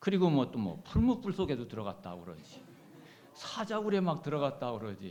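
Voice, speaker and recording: Audible room echo surrounds a man whose fairly high pitch makes very wide swings, his loudness rising and falling sharply and his voice showing vocal fry. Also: fairly quick pace. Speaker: pastor. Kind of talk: sermon. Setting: church. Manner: forceful intonation; hesitant, many fillers.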